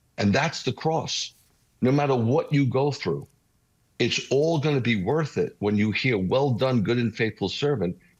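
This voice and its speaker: A man with a New York accent speaks at a medium pitch and a moderate pace, with lively intonation, very even loudness and a somewhat breathy quality. The background is quiet. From New York City (Bronx). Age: 60s. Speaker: messianic rabbi. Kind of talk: interview testimony. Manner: animated.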